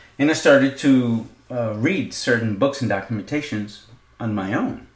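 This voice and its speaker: The speech moves at a moderate pace with ordinary pitch variation. There is audible echo from the room. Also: man, medium pitch for a man. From Israel, Jerusalem. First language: not English. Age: 50s. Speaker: podcaster. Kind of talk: personal monologue. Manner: halting, many fillers.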